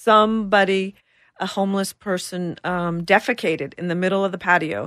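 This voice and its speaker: A woman with a plain, everyday voice speaks at a medium pitch and a moderate pace, with fairly even intonation over a quiet background. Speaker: business owner. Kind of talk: casual chat. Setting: studio.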